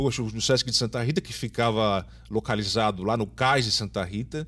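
A man with vocal fry at a moderate pace. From São Paulo, Brazil. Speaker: theatre teacher and director. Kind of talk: interview.

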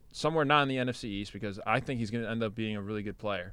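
Very fast speech from a man, recorded very cleanly with no background sound. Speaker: sports podcast co-host. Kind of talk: casual sports banter. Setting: studio. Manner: bantering, sarcastic.

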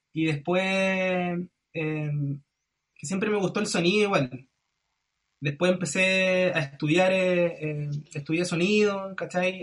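Very slowly, a man with a high voice speaks in fairly even intonation. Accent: Chilean. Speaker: singer-songwriter and music producer. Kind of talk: casual chat.

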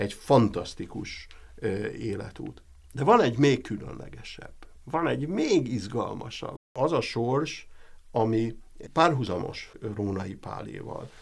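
A man talks at a very slow pace, with audible room echo around him. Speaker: professor. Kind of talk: interview. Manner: halting.

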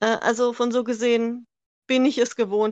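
Against a quiet background, a woman talks very slowly at a fairly high pitch. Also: dry, close sound with no echo. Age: 40s. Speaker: NASCAR fan from online community. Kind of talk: interview.

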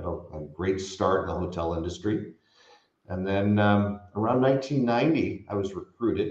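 In a Californian accent, the somewhat breathy voice shows ordinary pitch variation. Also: man. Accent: General American (Californian). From US West Coast (San Francisco Bay Area). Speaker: hospitality company co-founder. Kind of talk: interview conversation.

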